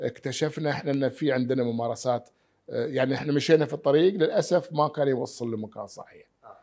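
Speaking fairly quickly with hardly any pauses, a man with a dark, mellow, fairly high voice shifts greatly in loudness while his pitch varies in an ordinary way, all over a quiet background. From Bahrain, Muharraq (raised partly in Khobar, Saudi Arabia); Bahrain. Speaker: doctor; interviewee. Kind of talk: interview. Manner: halting, many fillers. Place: home room.

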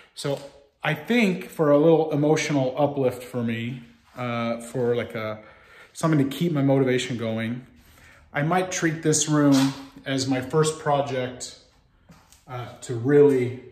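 Speaking at a fairly slow pace with long, frequent pauses, a man is heard over light background noise and audible room echo. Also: ordinary pitch variation. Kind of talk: casual vlog chat. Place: factory. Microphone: phone near.

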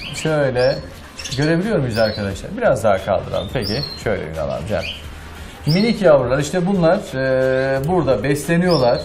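Noticeable noise sits behind a man who speaks at a moderate pace. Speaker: TV interviewer. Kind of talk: casual interview; show introduction. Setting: bird house. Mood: warm, friendly. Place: home room. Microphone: lapel.

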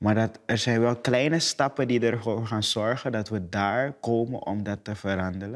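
Speaking at a moderate pace, a man leaves hardly any pauses. Behind him the background is quiet. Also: fairly even intonation. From Suriname. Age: 20s. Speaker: actor. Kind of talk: casual conversation. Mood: calm, earnest, sometimes smiling. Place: studio.

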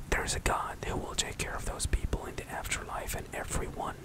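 Soft-spoken and whispering, a man talks at a moderate pace over loud background noise. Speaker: streamer, vlogger. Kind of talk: casual vlog chat. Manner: soft close-mic whisper. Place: home room. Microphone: studio mic.

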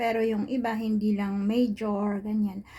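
A woman's medium-pitched voice comes across somewhat breathy, its tone dark and mellow. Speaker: vlogger. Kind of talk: casual vlog monologue. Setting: at home, indoors. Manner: halting.

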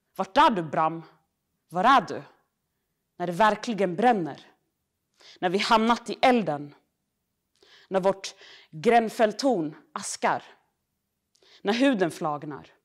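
Against a quiet background, a woman speaks at a medium pitch. She goes very slowly, with long, frequent pauses. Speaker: poet. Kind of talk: poetry reading. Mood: earnest, critical tone. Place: hall.

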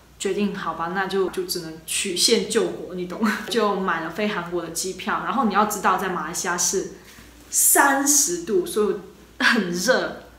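Spoken at a fairly slow pace in an animated tone, the clip has light background noise and audible room echo. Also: woman, ordinary pitch variation. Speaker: travel vlogger. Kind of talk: casual vlog monologue. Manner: animated, chatty. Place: home room. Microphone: phone near.

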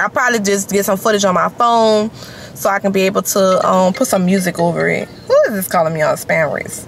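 The pace is fairly quick, with ordinary pitch variation. Light background noise sits under a dry sound with no echo. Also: woman. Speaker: vlogger. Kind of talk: casual vlog chat. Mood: annoyed then relaxed. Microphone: phone near.

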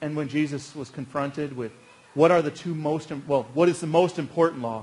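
Moderate-paced speech from a man. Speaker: pastor. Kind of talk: sermon. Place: church.

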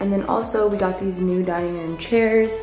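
A woman talks at a fairly quick pace with fairly even intonation. Audible room echo and faint background music are present. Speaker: vlogger. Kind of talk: casual vlog chat. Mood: cheerful, laughing. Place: home room. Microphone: phone near.

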